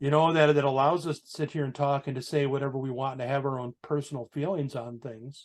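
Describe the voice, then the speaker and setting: At a very fast pace with hardly any pauses, a man speaks in a fairly high pitch with fairly even intonation. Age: 60s. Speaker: biker, motorcycle club member. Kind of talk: casual chat.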